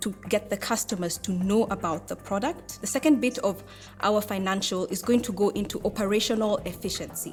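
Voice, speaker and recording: Medium in pitch with ordinary pitch variation, a woman speaks at a moderate pace. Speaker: entrepreneur pitching to judges. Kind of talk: pitch Q&A with judges. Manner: loud.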